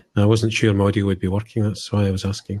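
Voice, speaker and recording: A man with a Scottish accent, fairly low in pitch, with monotone, flat intonation. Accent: Scottish, noticeable. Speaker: hobby podcaster. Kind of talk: casual chat.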